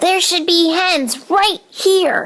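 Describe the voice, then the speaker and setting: An extremely high, squeaky put-on character voice is used here. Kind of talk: bedtime story. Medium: read story.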